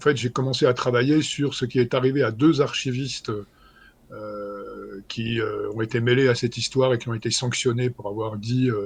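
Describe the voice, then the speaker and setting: Somewhat breathy, a man with a medium pitch speaks at a moderate pace in a monotone, flat intonation. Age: 60s. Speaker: historian. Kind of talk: interview. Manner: halting, many fillers.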